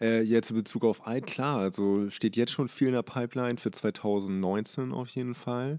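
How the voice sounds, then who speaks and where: This man speaks with medium pitch and a dark, mellow tone. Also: very clean recording, silent background. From Hamburg, Germany. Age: 20s. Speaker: fashion label owner. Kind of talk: casual interview. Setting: label warehouse premises.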